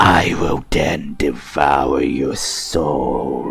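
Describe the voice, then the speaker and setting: A man puts on a raspy character voice pitched very deep and low. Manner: menacing, threatening.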